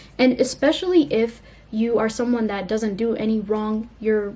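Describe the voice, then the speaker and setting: This woman's voice sits fairly high, with a dark, mellow tone and a somewhat breathy quality. Her pitch varies in an ordinary way. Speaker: YouTuber. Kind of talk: casual vlog talk to camera. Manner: fast; casual, filler-heavy.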